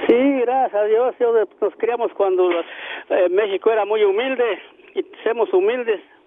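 This man's voice sits extremely high in pitch, with ordinary variation. He talks at a fairly slow pace. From Mexico, Guanajuato. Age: old. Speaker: retired farmworker. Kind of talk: phone-in chat.

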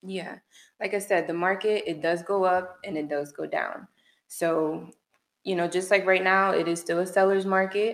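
In a very clean recording with a silent background, a woman talks at a moderate pace in a monotone, flat intonation. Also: medium pitch for a woman. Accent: American. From Orlando, Florida. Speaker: realtor. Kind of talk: interview answers. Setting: studio.

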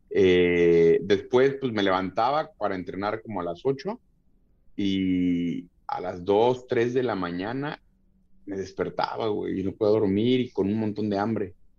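In a Mexico City accent, someone speaks at a fairly slow pace with ordinary pitch variation against a quiet background. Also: man, fairly low pitch for a man. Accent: Mexico City (chilango) Spanish. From Mexico City area (Tlalnepantla, State of Mexico). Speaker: MMA fighter. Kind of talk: casual chat. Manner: halting, many repeated words.

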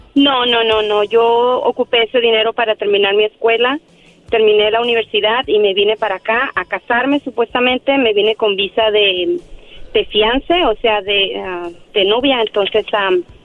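A woman speaks at a moderate pace in a fairly high pitch. Her pitch varies in an ordinary way, and it is an ordinary speaking voice. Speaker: caller. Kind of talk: personal testimony on call-in show. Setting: phone call.

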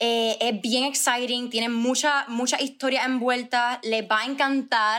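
A woman talks at a moderate pace with hardly any pauses, her high-pitched voice bright and sharp in tone yet monotone and flat in intonation. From Puerto Rico. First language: Spanish. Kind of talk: casual interview chat.

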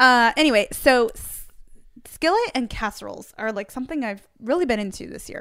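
Fairly quickly and with ordinary pitch variation, a woman speaks. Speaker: podcast host. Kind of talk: casual chat. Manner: fast.

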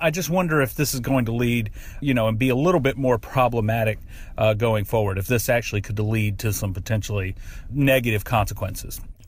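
A man with an American accent and a medium pitch speaks at a fairly quick pace with ordinary pitch variation in an unremarkable speaking voice. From US South. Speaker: listener sending voice memo. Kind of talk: voice memo. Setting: recorded voice memo.

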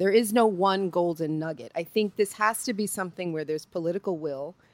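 A plain, everyday voice moves at a fairly quick pace with lively intonation. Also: woman, dry, close sound with no echo. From New York, Puerto Rican heritage. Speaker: journalist discussing media diversity. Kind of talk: interview conversation.

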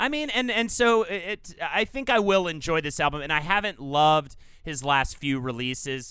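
Using an American accent, a man speaks in a high, bright, sharp voice with very wide pitch swings. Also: moderate pace, very clean recording, silent background. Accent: Southern US, comes out at times. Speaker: podcast co-host. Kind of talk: casual chat.

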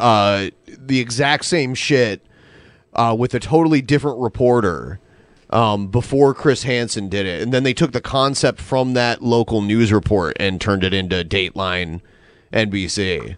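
A man with a plain, everyday voice speaks at a medium pitch and a fairly slow pace. His pitch varies in an ordinary way. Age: 30s. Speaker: podcast host. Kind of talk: casual chat. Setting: live stream.

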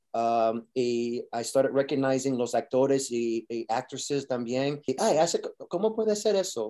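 The tone is dark and mellow, with lively intonation. The pace is fairly slow. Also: man, medium pitch for a man. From New York. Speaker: actor. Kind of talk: interview. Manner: halting.

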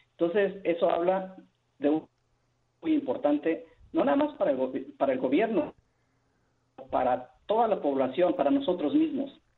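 Speaking at a moderate pace, a man with a high pitch swings very widely in tone and leaves long, frequent pauses. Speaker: caller. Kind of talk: phone-in call. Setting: phone call. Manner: halting, many repetitions.

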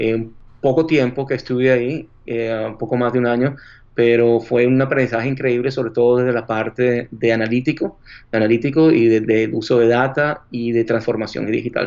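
In a flat, monotone delivery, a man's voice sits at a medium pitch. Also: moderate pace. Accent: Venezuelan. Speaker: marketing executive. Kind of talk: interview. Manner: halting.

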